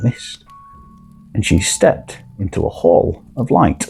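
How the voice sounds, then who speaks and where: Over music in the background, a man speaks in a calm, soothing tone. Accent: Yorkshire. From Barnsley, Yorkshire. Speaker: storyteller. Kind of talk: sleep story.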